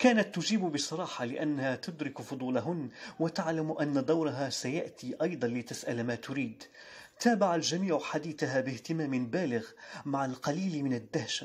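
A man talks in a plain, everyday voice with a fairly high pitch. His pace is moderate, and his pitch varies in an ordinary way. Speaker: voice-over artist. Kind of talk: short story reading.

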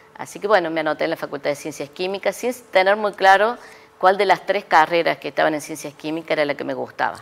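Talking at a very fast pace, a woman uses a fairly low pitch with ordinary pitch variation and big swings in loudness. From Córdoba, Argentina. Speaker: chemistry professor and researcher; chemistry professor. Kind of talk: interview. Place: studio. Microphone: lapel.

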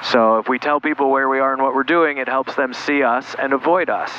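Over light background noise, a man's voice comes through with a dry sound and no echo. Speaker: flight instructor. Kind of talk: tutorial. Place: plane. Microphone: headset.

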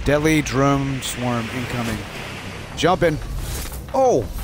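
A man speaks at a very slow pace in a fairly high pitch. Noticeable background noise sits behind him. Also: ordinary pitch variation. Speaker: gamer dad. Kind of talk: casual gaming chat.

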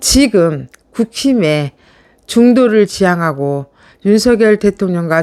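Over a silent background in a very clean recording, a woman speaks at a very slow pace with lively intonation. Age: middle-aged. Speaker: political YouTube commentator. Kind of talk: political commentary monologue. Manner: animated.

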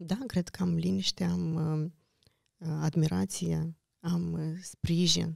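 The sound is dry and close, with no echo. A woman speaks very slowly, pausing often and at length. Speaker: journalist. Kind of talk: casual chat.

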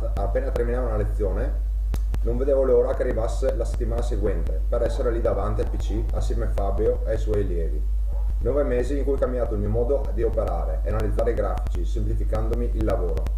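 With music in the background, a man talks at a very fast pace. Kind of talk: testimonial statement. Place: home room. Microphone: webcam.

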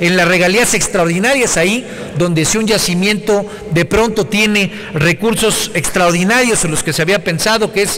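Over light background noise, a man with a high pitch speaks at a moderate pace. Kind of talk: parliamentary speech. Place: hall. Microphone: podium.

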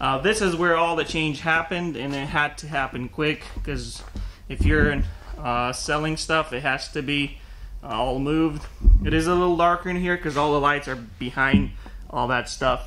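A man at a moderate pace with ordinary pitch variation, noticeable background noise behind him. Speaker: small online parts seller. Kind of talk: casual tour narration. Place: factory. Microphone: phone near.

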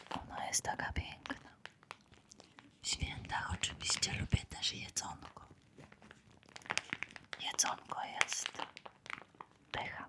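A woman whispers at a very slow pace, her tone calm. Long, frequent pauses break her speech over noticeable background noise. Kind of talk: ASMR close-whisper talk. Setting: close-mic studio with crinkle and squishy-toy sounds. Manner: whispered, soft, calm.

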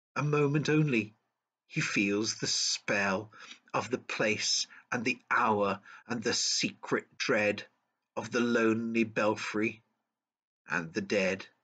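A man's tone is bright and sharp, his pace very slow. Long, frequent pauses break his speech against a quiet background. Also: ordinary pitch variation. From central England. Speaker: poetry reader and tourism guide. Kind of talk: poem performed, dramatic reading aloud of narrative verse. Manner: rhythmic, measured storytelling delivery, building urgency. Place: home room. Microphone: webcam.

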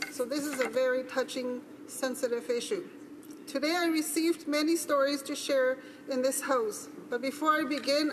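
The speech moves at a moderate pace with fairly even intonation, over light background noise. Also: woman. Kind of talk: formal speech in debate. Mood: somber, earnest. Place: hall.

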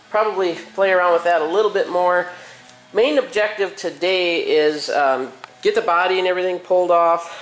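Faint music plays in the background. Over it, a man talks at a fairly quick pace in a high voice. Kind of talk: casual vlog chat. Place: garage. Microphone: phone near.

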